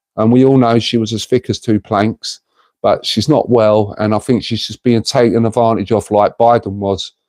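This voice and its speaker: At a moderate pace, a man speaks in a dark, mellow tone, with a dry, close sound free of echo on a very clean recording with a silent background. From North London, England (Tottenham). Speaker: live streamer. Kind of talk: casual live-stream chat. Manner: animated.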